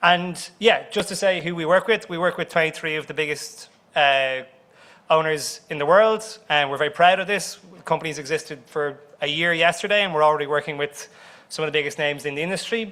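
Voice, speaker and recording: A man with an Irish accent, fairly high pitch and a bright, sharp tone, at a fairly quick pace with ordinary pitch variation and big swings in loudness. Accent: Irish accent, speaker apologizes for it. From Ireland. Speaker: company CEO, conference speaker. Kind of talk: conference presentation. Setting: conference room with audience.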